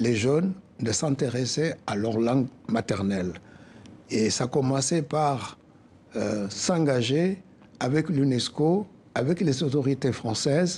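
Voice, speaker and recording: Speaking at a very slow pace with long, frequent pauses, a man with a West African accent has a dark, mellow, somewhat breathy tone at medium pitch, lively intonation and very even loudness. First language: Soninke (speaking French). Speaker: association president. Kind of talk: interview.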